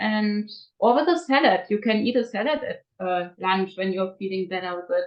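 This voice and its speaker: Speaking with a non-native accent, a woman uses lively intonation at a fairly high pitch. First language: not English. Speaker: raw food diet coach. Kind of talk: interview. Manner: halting, many fillers.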